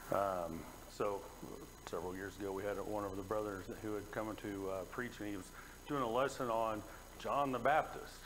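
A man speaks at a fairly low pitch and a moderate pace, with ordinary pitch variation. He has an ordinary speaking voice, and there is light background noise. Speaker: preacher. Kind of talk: sermon. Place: church.

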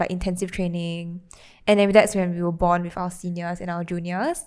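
Speaking with a Singaporean accent, a woman uses a fairly low pitch against a quiet background. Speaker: podcast co-host. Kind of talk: casual chat. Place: home room. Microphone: handheld.

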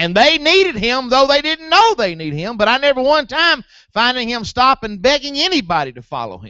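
Speaking at a fairly quick pace, a man's extremely high voice shows very wide pitch swings and big swings in loudness, with a dry sound and no echo over a quiet background. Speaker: preacher. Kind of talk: sermon. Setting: church. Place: church.

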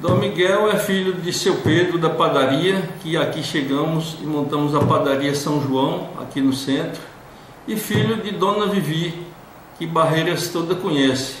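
Noticeable background noise behind a man's fairly high voice, fairly slow in pace, with ordinary pitch variation. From Brazil, western Bahia. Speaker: local political candidate. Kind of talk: interview.

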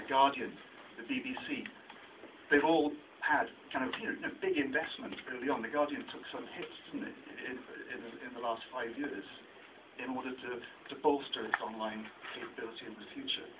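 With noticeable background noise, a man speaks at a moderate pace, leaving long, frequent pauses. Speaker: researcher presenting a report. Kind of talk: talk at a meeting. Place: meeting room.

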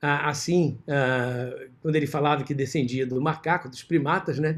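Against a quiet background, a man speaks very slowly at a fairly high pitch. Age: 60s. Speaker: vascular surgeon lecturing; surgeon lecturer. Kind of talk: lecture. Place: home room. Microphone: video call.

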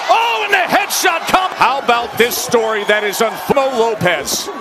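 Over noticeable background noise, a man speaks in an extremely high pitch with very wide pitch swings. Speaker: boxing commentator. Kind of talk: live commentary. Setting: broadcast from arena.

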